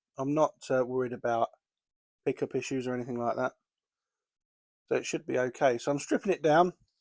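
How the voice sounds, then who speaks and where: Recorded very cleanly against a silent background, a man with an English accent talks at medium pitch and a fairly quick pace. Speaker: model railway hobbyist. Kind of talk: tutorial. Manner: casual, with fillers.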